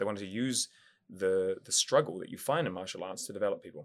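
Talking at a very fast pace, a man with a New Zealand accent is heard on a very clean recording with a silent background. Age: 30s. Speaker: martial artist. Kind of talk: casual interview.

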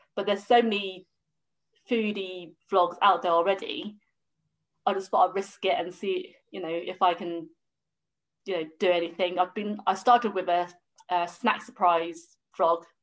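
A woman with a southern English accent speaks at a moderate pace in fairly even intonation, leaving long, frequent pauses. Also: medium pitch for a woman. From southern England. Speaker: food blogger. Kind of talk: casual chat.

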